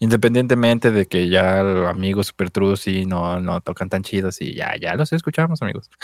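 Pitched fairly low, a man with a Mexican accent speaks with lively intonation in a dry, close sound with no echo. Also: moderate pace. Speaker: podcast co-host. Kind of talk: casual chat.

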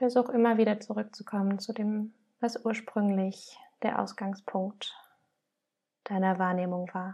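At a fairly slow pace with long, frequent pauses, a woman speaks in a calm, warm, dark and mellow tone, somewhat breathy and monotone at a medium pitch. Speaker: podcast host and meditation guide. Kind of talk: guided meditation, gentle and inviting, addressing listener as du. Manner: slow, calm, soft-spoken, with long pauses between prompts; warm and nurturing, unhurried.

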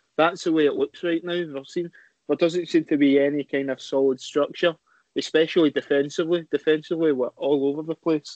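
Using a Scottish accent, a man speaks fairly quickly in a fairly high, flat monotone. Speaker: football podcast panelist. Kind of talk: casual chat.

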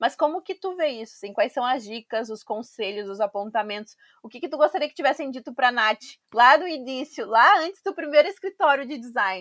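A high-pitched woman at a fairly quick pace, lively intonation and big swings in loudness, dry and close with no echo. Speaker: podcast host. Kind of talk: casual interview.

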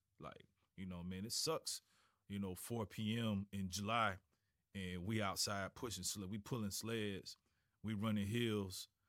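This man speaks with a Florida accent. His intonation is monotone and flat. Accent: US Southern, Florida. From Florida, Tallahassee. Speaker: high school football coach. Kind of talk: casual interview. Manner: halting, many repetitions and fillers.

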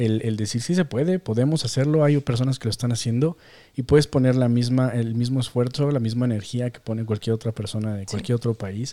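On a very clean recording with a silent background, a man with a Mexican accent speaks fairly quickly in a medium pitch, with a dark, mellow tone and ordinary pitch variation. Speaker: podcast host and developer. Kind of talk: casual chat.

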